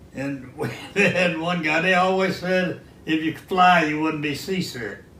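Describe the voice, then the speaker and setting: Against noticeable background noise, a man with an American accent speaks fairly slowly, his pitch high and its variation ordinary. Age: 90s. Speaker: war veteran. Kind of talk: interview answer.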